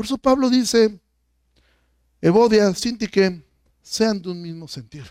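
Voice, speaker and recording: A man speaks in a high voice at a fairly slow pace, with ordinary pitch variation. His loudness swings widely, and he leaves long, frequent pauses. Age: 40s. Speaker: pastor. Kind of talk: sermon.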